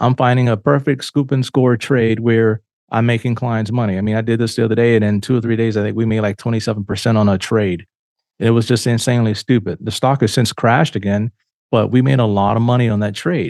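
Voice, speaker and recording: A man talks at a very fast pace with fairly even intonation, recorded dry and close with no echo against a quiet background. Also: medium pitch for a man. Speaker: financial advisor podcast host. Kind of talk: casual monologue.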